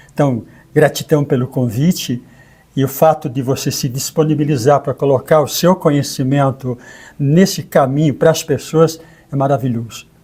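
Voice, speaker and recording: A man's dark, mellow, somewhat breathy voice at a moderate pace, with fairly even intonation. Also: fairly high pitch for a man. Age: 70s. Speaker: co-host and therapist. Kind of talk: conversational interview.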